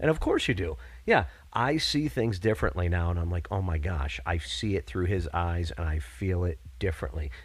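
A man's very deep, low voice with an American accent, vocal fry and lively intonation. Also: moderate pace, very clean recording, silent background. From upstate New York (Binghamton). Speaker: school teacher and comedian. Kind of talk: casual chat.

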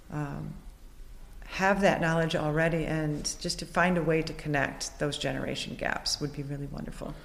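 In a room with audible echo, a woman speaks at a moderate pace with a very deep, low pitch and monotone, flat intonation. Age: 50s. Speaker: mixed-media artist. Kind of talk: casual interview. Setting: art gallery.

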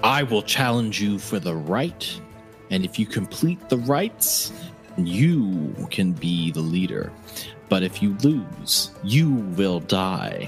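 A man's booming put-on character voice, fairly low in pitch, at a very slow pace, with clear music in the background. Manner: commanding.

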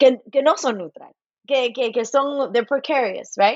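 Ordinary pitch variation in a high voice from a woman. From Los Angeles, US, Cuban and Puerto Rican parents. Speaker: folklore professor. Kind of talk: interview. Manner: halting, many repeated words; code-switching into English.

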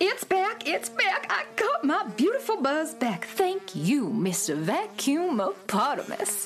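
A woman speaks slowly in a put-on character voice with a high pitch and big swings. Faint music plays in the background.

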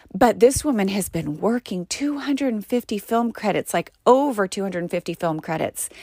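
This is a woman with an unremarkable speaking voice, medium pitch and lively intonation, talking at a moderate pace. The recording is very clean, dry and close, with no echo and a silent background. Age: 40s. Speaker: actor and podcast host. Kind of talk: solo podcast monologue. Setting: recording pod.

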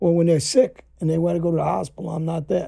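A man with a New York accent. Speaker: former mobster. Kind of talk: interview conversation.

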